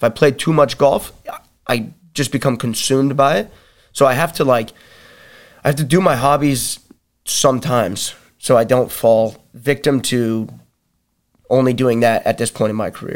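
Ordinary pitch variation at a moderate pace, with long, frequent pauses, on a very clean recording with a silent background. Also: man, medium pitch for a man. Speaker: wrestler and fighter. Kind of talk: casual chat. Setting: studio.

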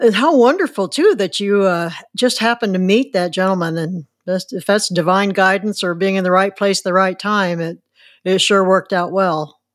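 A woman with a Midwestern American accent speaks at a moderate pace. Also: medium pitch for a woman, ordinary pitch variation, very clean recording, silent background. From rural Illinois. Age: 70s. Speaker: podcast host. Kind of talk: interview.

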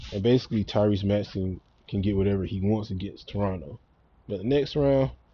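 A man with a Southern US accent and a fairly low pitch. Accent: country Southern US. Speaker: sports podcast host. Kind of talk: casual sports opinion monologue. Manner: stumbles over words; animated.

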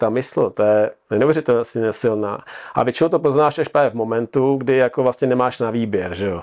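Against a quiet background, a man speaks at a medium pitch in a normal speaking voice. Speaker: triathlete and adventurer. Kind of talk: casual chat.

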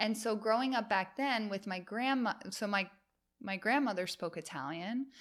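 A woman with an American accent talks at a moderate pace in a plain, everyday voice, fairly high in pitch, with ordinary pitch variation. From New York, US. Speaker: yoga teacher and photographer. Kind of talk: casual interview chat.

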